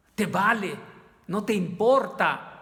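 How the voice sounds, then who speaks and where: In a room with audible echo, a man speaks at a fairly slow pace and a high pitch. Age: 60s. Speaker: lay preacher. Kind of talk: sermon. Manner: halting.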